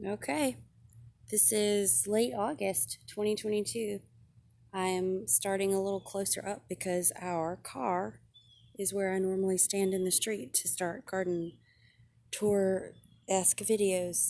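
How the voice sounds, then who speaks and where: A woman with a dark, mellow tone and a medium pitch talks at a fairly slow pace with lively intonation. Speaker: home gardener vlogger. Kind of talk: casual garden tour narration. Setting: outdoors in urban garden. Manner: casual with frequent fillers.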